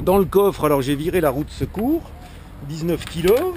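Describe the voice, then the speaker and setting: The speaker has a Franche-Comté accent. The pace is moderate. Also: man. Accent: rural Franche-Comté (Haut-Doubs) French. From Haut-Doubs, France. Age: 50s. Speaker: amateur car tuner. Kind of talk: casual car walkaround presentation to camera. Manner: casual, hesitant, repeats 'voilà' often.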